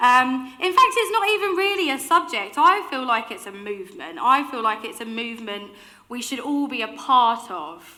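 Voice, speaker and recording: A woman speaks at a moderate pace in a raised, projected, animated voice, her high pitch swinging very widely and her loudness rising and falling sharply over noticeable background noise. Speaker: keynote speaker. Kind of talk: keynote talk. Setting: stage with audience.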